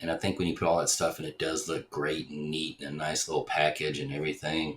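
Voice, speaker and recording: A man with vocal fry and a very deep, low pitch speaks at a fairly quick pace. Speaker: podcaster. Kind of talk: casual vlog monologue. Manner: hesitant, many fillers.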